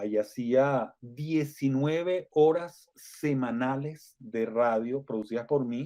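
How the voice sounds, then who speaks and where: Speaking at a very slow pace with hardly any pauses, a man with a medium pitch and a dark, mellow tone shows ordinary pitch variation. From Venezuela. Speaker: Venezuelan radio broadcaster, now living in Mexico. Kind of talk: interview answer, recalling his radio career.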